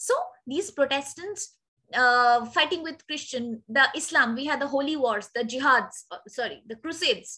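A woman with a high pitch and a bright, sharp tone speaks at a fairly slow pace in a raised, projected voice. Her intonation is lively, her loudness swings widely, and the background is quiet. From India. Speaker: teacher. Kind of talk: lecture. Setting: video call. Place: home room. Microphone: webcam.

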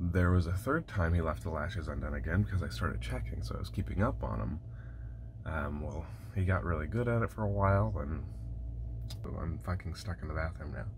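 A man's very deep, low voice at a fairly quick pace, with noticeable background noise. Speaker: bus-life vlogger. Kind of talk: casual vlog chat. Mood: frustrated, wry amusement. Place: bathroom. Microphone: phone near.

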